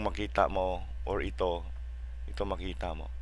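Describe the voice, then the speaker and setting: This is a man's voice. The room around him echoes audibly. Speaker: software tutorial youtuber. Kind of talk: tutorial. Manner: halting, many fillers.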